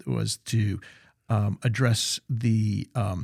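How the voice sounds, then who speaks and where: A man with an American accent speaks at a medium pitch in a somewhat breathy voice with fairly even intonation, the sound dry and close with no echo on a very clean recording with a silent background. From US South (Central Florida). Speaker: podcast host. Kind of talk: podcast interview.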